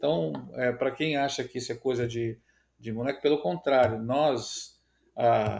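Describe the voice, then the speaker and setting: An unremarkable speaking voice with ordinary pitch variation, in a very clean recording with a silent background. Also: man. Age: 60s. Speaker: agribusiness innovation director. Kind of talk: podcast interview.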